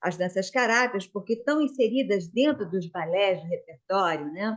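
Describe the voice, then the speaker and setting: With lively intonation and a moderate pace, this is an ordinary speaking voice. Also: woman, medium pitch for a woman. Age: 60s. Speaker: dance school owner and student. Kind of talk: casual chat.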